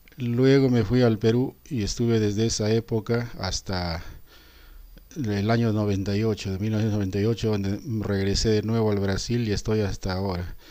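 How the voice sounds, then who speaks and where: A man's fairly low, dark and mellow voice at a moderate pace, with fairly even intonation. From Peru, Arequipa. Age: 60s. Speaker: teacher. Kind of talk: reflective monologue. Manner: halting with fillers.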